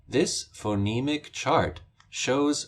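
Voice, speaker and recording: A man with an American accent and lively intonation, in a very clean recording with a silent background. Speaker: pronunciation teacher. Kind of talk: tutorial. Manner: formal.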